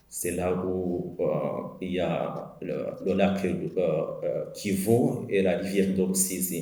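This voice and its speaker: A man speaks with a Rwandan accent at a very slow pace. Room echo is audible. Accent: Rwandan accent, L and R swapped. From Rwanda, Cyangugu area. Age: 40s. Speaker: genocide survivor. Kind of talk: testimony. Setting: commemoration event. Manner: halting, many hesitations.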